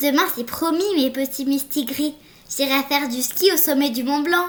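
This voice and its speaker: A woman's put-on character voice, high-pitched, with ordinary pitch variation and a moderate pace. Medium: read story. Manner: bright, playful.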